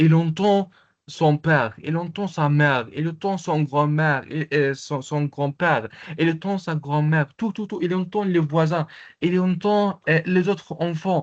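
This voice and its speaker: A man with an Arabic accent speaks very slowly at a fairly high pitch against a quiet background. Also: ordinary pitch variation. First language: Arabic (speaking French). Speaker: Arabic language teacher. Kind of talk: online lecture with participant Q&A. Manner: halting, many hesitations.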